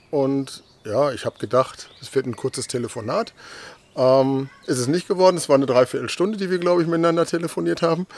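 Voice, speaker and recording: Noticeable noise in the background behind a man speaking fairly quickly. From Westphalia, Germany. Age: 50s. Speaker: 3D object photographer. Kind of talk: interview. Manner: hesitant, many fillers and repeats.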